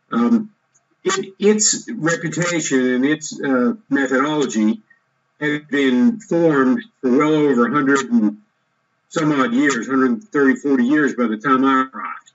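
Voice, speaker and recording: A man's ordinary speaking voice, with an American accent, fairly high in pitch, fairly slow in pace and lively in intonation. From United States, grew up on Army posts. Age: 60s. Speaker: entrepreneur, former army officer. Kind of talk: interview, personal story. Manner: conversational, with fillers and restarts.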